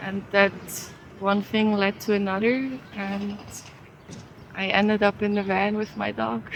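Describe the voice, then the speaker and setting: Noticeable background noise accompanies a woman's voice. She speaks at medium pitch and a fairly slow pace. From Switzerland. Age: 20s. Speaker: van dweller interviewee. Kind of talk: casual interview and van tour.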